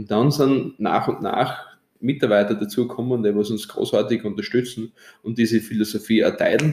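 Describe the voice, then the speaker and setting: At a moderate pace, the speaker uses fairly even intonation in a dark, mellow tone. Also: man. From Austria, Styria (Straden). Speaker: winemaker and hotelier. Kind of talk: interview. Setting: seminar room at his winery.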